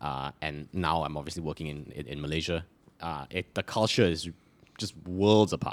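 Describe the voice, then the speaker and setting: In a very clean recording with a silent background, a man speaks at a moderate pace. His voice is very deep and low with vocal fry and ordinary pitch variation. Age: 20s. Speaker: podcast co-host appearing as guest. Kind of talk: casual chat.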